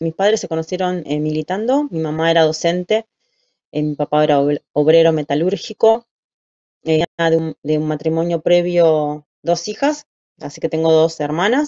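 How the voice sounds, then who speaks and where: Against a quiet background, a woman speaks at a moderate pace with a fairly low pitch. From Buenos Aires, Argentina; Argentina. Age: 40s. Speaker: human rights testimony guest; interviewee. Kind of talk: interview testimony. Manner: halting, frequent filler 'eh'. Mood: calm, reflective, serious. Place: home room. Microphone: video call.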